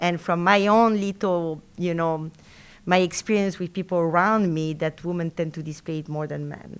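With a French accent, a woman speaks at a moderate pace in a fairly low voice with ordinary pitch variation, on a very clean recording with a silent background. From Argentina and France. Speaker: university professor. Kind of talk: interview, casual conversational. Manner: halting, many fillers and restarts.

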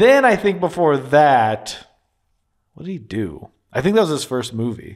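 Swinging very widely in pitch, a man with a fairly high voice speaks at a fairly slow pace on a very clean recording with a silent background. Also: big swings in loudness. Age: 30s. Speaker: podcast co-host. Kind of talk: casual chat. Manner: animated.

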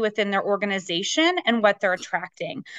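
In an American accent, an ordinary speaking voice talks at a fairly quick pace with lively intonation, the sound dry and close with no echo over a quiet background. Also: woman. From US West, Las Vegas, Nevada. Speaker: business coach and speaker. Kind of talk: casual interview.

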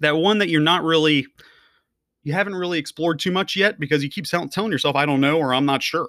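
At a very fast pace, a man speaks in an energetic, bright, sharp tone with fairly high pitch and ordinary pitch variation. The recording is very clean with a silent background. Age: 30s. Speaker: podcast host, online entrepreneur. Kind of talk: motivational monologue.

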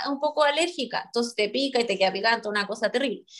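A woman speaks in a Chilean accent. Her pitch is high. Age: 30s. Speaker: podcast co-host. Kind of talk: casual chat.

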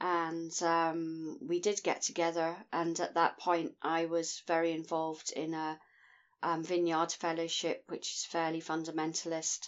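This woman's voice sits fairly low. She speaks at a fairly slow pace. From Scotland. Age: 50s. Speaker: podcast guest. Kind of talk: casual chat.

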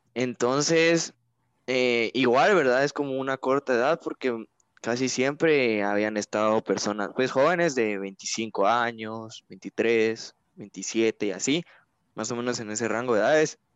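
At a very slow pace, a man speaks at medium pitch with ordinary pitch variation. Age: 20s. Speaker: engineering student and youth church leader. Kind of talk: interview. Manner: hesitant, many fillers.

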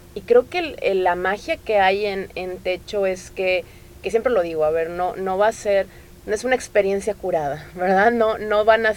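Speaking at a moderate pace, a woman has a plain, everyday voice at medium pitch with ordinary pitch variation. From Tamaulipas, Mexico. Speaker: NGO coordinator. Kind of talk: interview.

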